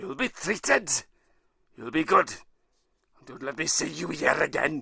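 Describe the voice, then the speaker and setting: A man puts on a gruff, raspy character voice at a fairly high pitch. His pace is moderate, with big swings in loudness. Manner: stern, commanding.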